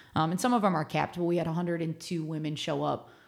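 A woman with an American accent speaks at a very fast pace in a very deep, low pitch with ordinary pitch variation. The recording is very clean, with a silent background. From Ohio, Cleveland suburbs. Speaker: adventure club co-founder. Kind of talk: interview. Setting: studio.

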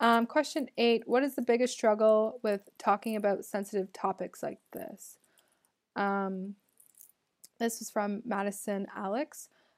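A woman with a Canadian accent and a normal speaking voice talks at a fairly slow pace and fairly high pitch, with big swings in loudness, in a dry, close sound with no echo on a very clean recording with a silent background. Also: ordinary pitch variation. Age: 20s. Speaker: podcast host. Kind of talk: solo Q&A monologue.

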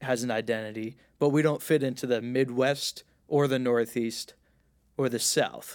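A man's medium-pitched voice holds a monotone, flat intonation at a moderate pace. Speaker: podcast host. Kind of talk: casual chat.

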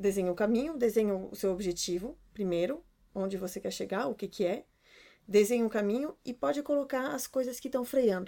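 On a very clean recording with a silent background, a woman with a Brazilian accent speaks in a dark, mellow tone at a fairly high pitch with lively intonation. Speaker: podcast co-host, runs own business. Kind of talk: casual chat.

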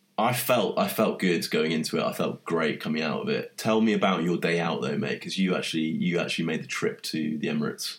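A man with a London accent at a very fast pace, hardly any pauses, and noticeable background noise. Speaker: podcast host. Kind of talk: casual chat.

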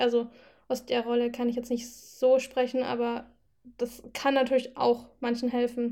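High-pitched speech from a woman, delivered at a fairly slow pace. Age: 20s. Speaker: student and amateur athlete. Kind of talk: casual chat. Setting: video call.

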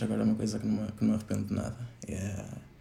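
A man speaks with audible room echo. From northern Portugal. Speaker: podcast guest. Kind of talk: casual interview.

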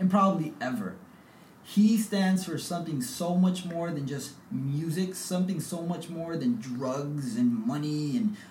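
A man with an American accent talks at a fairly slow pace in a high pitch, with ordinary pitch variation. Audible room echo and noticeable background noise surround him. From US West Coast, South San Francisco. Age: 20s. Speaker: podcast host. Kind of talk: casual chat.

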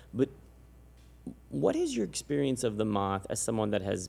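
A man with an American accent speaks at a fairly quick pace. His fairly low voice carries vocal fry. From San Antonio, Texas. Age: 40s. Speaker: podcast host. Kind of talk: casual interview chat.

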